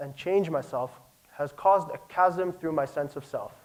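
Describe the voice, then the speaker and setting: Normal pitch movement in a man's voice set high. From South Africa, Pretoria. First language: Afrikaans. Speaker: speaker at presentation night. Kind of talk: prepared talk.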